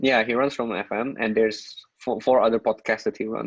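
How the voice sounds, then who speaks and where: In an Indonesian accent, a man speaks with monotone, flat intonation. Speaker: content creator. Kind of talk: casual chat.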